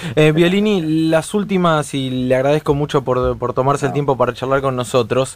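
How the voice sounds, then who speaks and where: With an unremarkable speaking voice, a man talks at a moderate pace with hardly any pauses, a fairly high pitch and ordinary pitch variation. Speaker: radio host. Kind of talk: radio interview.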